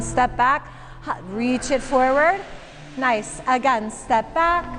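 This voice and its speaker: In an American accent, a woman with a high voice and a calm tone speaks at a fairly slow pace amid noticeable background noise. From Michigan, US. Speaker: yoga teacher. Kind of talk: guided yoga class instruction. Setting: yoga studio with class. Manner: calm, encouraging, rhythmic cueing.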